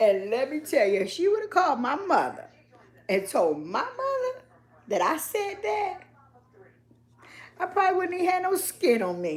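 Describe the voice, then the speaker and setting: A woman speaks in an animated tone at an extremely high pitch, with very wide pitch swings. Long, frequent pauses break up her speech over noticeable background noise. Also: moderate pace. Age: 50s. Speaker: vlogger. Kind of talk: casual live stream chat. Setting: live stream at niece's house.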